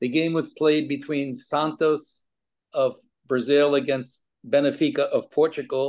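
A man with an American accent and a normal speaking voice, fairly high in pitch, fairly slow in pace, fairly even in intonation, over a quiet background. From New York. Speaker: former pro soccer player and coach. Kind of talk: interview.

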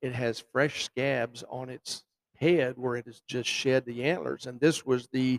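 Speaking at a moderate pace, a man with a plain, everyday voice and medium pitch keeps a fairly even intonation in a dry, close sound with no echo. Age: 60s. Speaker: bowhunter and record measurer. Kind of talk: casual interview. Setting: live at a festival, in a lobby.

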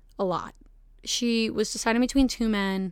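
Fairly high female voice at a moderate pace with ordinary pitch variation, in a very clean recording over a silent background. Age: 20s. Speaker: podcast host. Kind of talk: casual solo monologue. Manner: animated.

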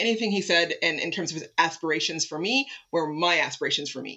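In a Canadian accent, a woman with a normal speaking voice and a fairly low pitch talks at a fairly quick pace. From Toronto, Canada. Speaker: city arts and culture executive. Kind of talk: interview. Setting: at home, remote recording.

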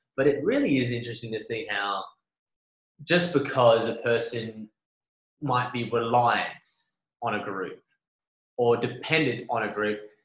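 This voice is somewhat breathy, with an Australian accent and fairly even intonation. It moves at a fairly slow pace, broken by long, frequent pauses. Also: man, medium pitch for a man. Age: 20s. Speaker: podcast host. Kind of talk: casual chat.

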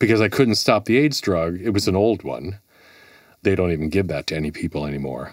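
Talking at a very fast pace with lively intonation and vocal fry, a man with a very deep, low voice and an American accent is captured in a very clean recording with a silent background. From US Midwest, Milwaukee. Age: 50s. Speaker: radio station employee. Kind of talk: interview conversation.

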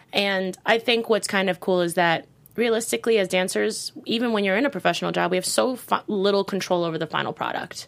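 A woman with an American accent and a medium pitch speaks at a very fast pace with hardly any pauses. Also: ordinary pitch variation. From New York City (Brooklyn). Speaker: podcast host and dancer. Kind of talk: casual interview chat. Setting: studio.

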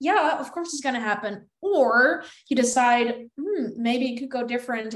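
This woman speaks with a Dutch accent. Her pace is moderate. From Netherlands. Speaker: content creator. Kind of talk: casual chat.

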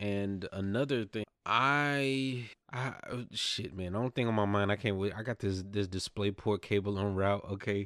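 With a Southern US accent and a fairly low pitch, a man speaks in an animated tone at a moderate pace with ordinary pitch variation and hardly any pauses, his voice dry and close with no echo on a very clean recording with a silent background. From US South. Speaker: gaming podcast host. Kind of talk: casual chat.

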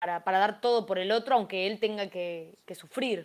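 Her pitch at a medium level, a woman talks at a moderate pace with fairly even intonation. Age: 20s. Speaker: YouTuber. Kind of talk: casual chat. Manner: halting, repeats words.

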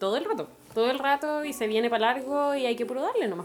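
A woman with a Chilean accent talks at a fairly quick pace amid noticeable background noise. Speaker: activist. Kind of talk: casual chat.

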